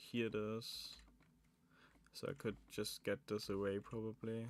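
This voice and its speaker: A man speaks with a German accent at a medium pitch. His pace is very slow. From Germany, Saxony. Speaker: animatronics maker streamer. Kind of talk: live stream chat while building. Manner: casual, thinking aloud.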